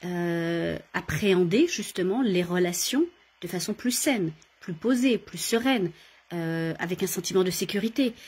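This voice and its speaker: A woman speaks at a fairly slow pace in a medium pitch, somewhat breathy, with ordinary pitch variation. The recording is very clean, the background silent. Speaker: coach and workshop leader. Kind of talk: casual talk to camera, live video. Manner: hesitant, many fillers.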